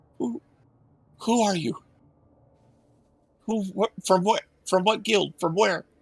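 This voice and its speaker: A put-on character voice from a man, high in pitch and timid in tone, at a fairly slow pace with long, frequent pauses. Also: dry, close sound with no echo. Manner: timid, questioning.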